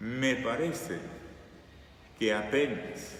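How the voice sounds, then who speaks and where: A man talks very slowly with lively intonation. Noticeable background noise and audible room echo fill the recording. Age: 60s. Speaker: preacher. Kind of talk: sermon.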